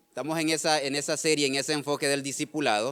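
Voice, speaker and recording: A man is speaking. He talks with a Nicaraguan accent. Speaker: pastor. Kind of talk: sermon. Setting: church service streamed online. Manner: halting, frequent repetitions.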